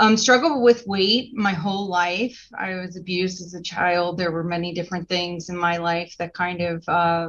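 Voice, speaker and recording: This woman has a normal speaking voice pitched fairly low, with ordinary pitch variation. She keeps a moderate pace while her loudness swings widely. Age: 40s. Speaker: patient sharing recovery experience. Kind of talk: panel discussion testimony.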